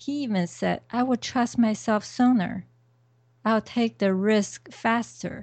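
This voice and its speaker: Speaking at a very slow pace, a woman uses a fairly high pitch with ordinary pitch variation. Her voice is somewhat breathy. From China. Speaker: podcast co-host and part-time dentist. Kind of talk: casual interview.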